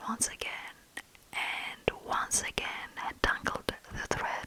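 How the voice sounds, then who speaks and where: Someone whispers at a very slow pace. There is noticeable background noise. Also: woman. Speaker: ASMR storyteller. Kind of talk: fairytale story reading for sleep. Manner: whispered, soft-spoken.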